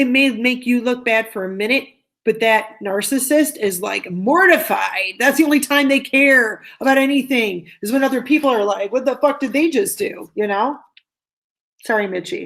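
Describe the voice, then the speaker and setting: A woman speaks loudly at a moderate pace, her high-pitched voice full of lively intonation, on a very clean recording with a silent background. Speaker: tarot reader and online video host. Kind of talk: live-stream discussion.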